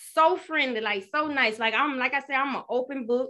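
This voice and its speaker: A woman speaks in a raised, projected voice with a high pitch and ordinary pitch variation. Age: 30s. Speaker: podcast host. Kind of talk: casual solo talk, first episode intro. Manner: animated, chatty; nervous, excitable.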